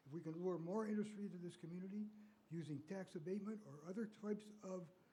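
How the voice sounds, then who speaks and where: A man's high voice with an American accent and audible room echo. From US Midwest. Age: 80s+. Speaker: public commenter. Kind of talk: public comment at council meeting. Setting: city council meeting.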